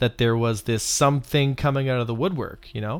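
In a Canadian accent, a man with an unremarkable speaking voice talks at a fairly quick pace with fairly even intonation on a very clean recording with a silent background. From Canada. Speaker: game player and content creator. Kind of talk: casual chat.

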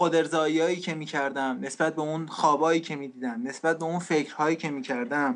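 A man with an unremarkable speaking voice, fairly high pitch and moderate pace. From Iran. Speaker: refugee sharing life story. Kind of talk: testimony.

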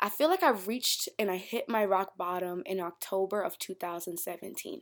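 Animated in tone, a woman with an American accent speaks at a moderate pace with medium pitch and ordinary pitch variation on a very clean recording with a silent background. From Florida, US South. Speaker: podcast host. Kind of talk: casual solo podcast monologue. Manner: animated, conversational.

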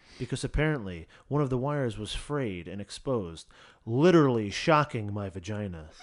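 Using a normal speaking voice, a man talks at a fairly quick pace and a medium pitch. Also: lively intonation. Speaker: podcast host. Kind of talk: casual banter, reading aloud listener stories.

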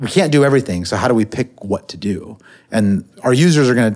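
A man with an American accent at a very fast pace, with ordinary pitch variation, on a very clean recording with a silent background. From US West Coast (Silicon Valley). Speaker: angel investor. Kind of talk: interview. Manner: hesitant fillers.

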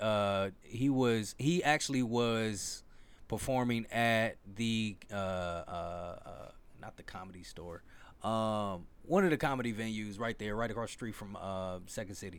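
Fairly low in pitch, a man talks at a fairly slow pace with ordinary pitch variation. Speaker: podcast host. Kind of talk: casual chat. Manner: loud.

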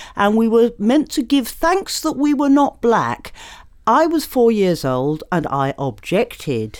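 Speaking very slowly with a British accent, a woman uses a fairly high pitch that swings very widely. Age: 60s. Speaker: political activist. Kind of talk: panel discussion.

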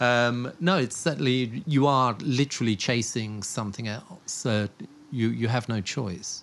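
A man speaks in a southern English accent at a fairly slow pace. His pitch varies in an ordinary way. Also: medium pitch for a man. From southern England, Portsmouth. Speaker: storm and volcano chaser, news videographer. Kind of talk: casual interview.

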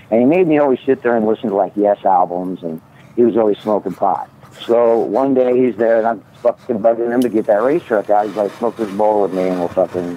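Over noticeable background noise, a man with an American accent speaks at a medium pitch and a fairly quick pace. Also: ordinary pitch variation. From US Midwest (Omaha area). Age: 50s. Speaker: caller, cannabis grower. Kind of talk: casual chat.

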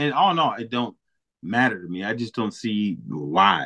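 The man has a bright, sharp tone with vocal fry. He speaks at a fairly slow pace in an animated tone. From Milwaukee, Wisconsin. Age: 30s. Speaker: podcast host. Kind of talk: casual chat.

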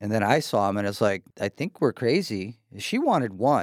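A man with an American accent speaks at a moderate pace, his pitch swinging very widely, in a dry, close sound with no echo. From US Pacific Northwest, Seattle. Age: 50s. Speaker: house renovator. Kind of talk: casual interview.

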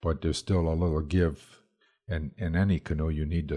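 In a very clean recording with a silent background, a man speaks at a fairly quick pace in a very deep, low pitch, with a dark, mellow tone and fairly even intonation. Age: 70s. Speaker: canoe building instructor. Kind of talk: interview.

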